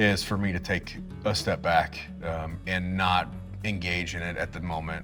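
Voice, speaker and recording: Music plays in the background. The intonation over it is monotone and flat. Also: man. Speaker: army veteran. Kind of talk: interview answer. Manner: casual, reflective.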